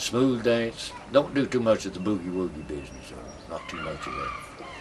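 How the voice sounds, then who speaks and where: Amid noticeable background noise, a man speaks at a moderate pace with big swings in loudness. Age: 70s. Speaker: buck dancer. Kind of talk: interview.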